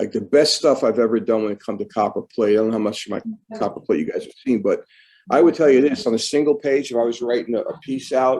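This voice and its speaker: A man with a Brooklyn accent talks very fast at a medium pitch, his dark, mellow tone carried by lively intonation. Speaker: calligrapher. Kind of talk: casual chat. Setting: video call. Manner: slurred.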